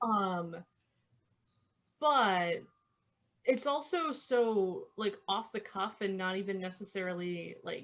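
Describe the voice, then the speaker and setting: Very slowly, a woman with a Midwestern US accent speaks at a medium pitch. She leaves long, frequent pauses. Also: lively intonation. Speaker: podcast co-host. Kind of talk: casual chat.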